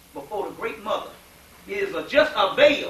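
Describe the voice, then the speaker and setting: Speaking in a Southern US accent, a man uses a raised, projected voice at a fairly quick pace with very wide pitch swings, amid audible room echo and noticeable background noise. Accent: southern US, sounds like a preacher. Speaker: lecturer on esoteric history. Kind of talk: lecture. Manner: preacher-like, folksy.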